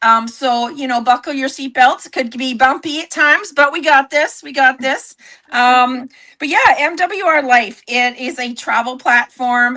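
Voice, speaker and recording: Speaking at a fairly slow pace, a woman projects a high, bright, sharp voice with ordinary pitch variation and big swings in loudness. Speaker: network marketing entrepreneur. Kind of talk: livestream sales pitch. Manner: animated.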